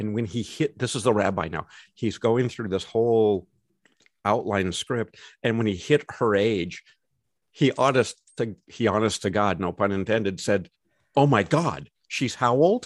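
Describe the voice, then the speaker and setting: A man with a General American accent speaks in an ordinary speaking voice, fairly low in pitch with ordinary pitch variation, at a fairly slow pace, in a dry, close sound with no echo against a quiet background. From Los Angeles, US. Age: 60s. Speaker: podcast co-host, lawyer and coach. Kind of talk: casual chat.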